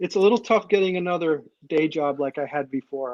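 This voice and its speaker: With an American accent and a normal speaking voice, a man talks at a fairly high pitch and a moderate pace, recorded with a dry, close sound and no echo. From Maine, US Northeast. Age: 60s. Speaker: comic creator and illustrator. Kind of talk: interview.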